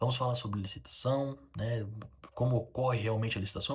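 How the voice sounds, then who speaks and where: A somewhat breathy man at a medium pitch, with ordinary pitch variation and a fairly quick pace. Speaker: railway engineer and video creator. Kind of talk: casual educational talk to camera. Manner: fast; halting, many fillers.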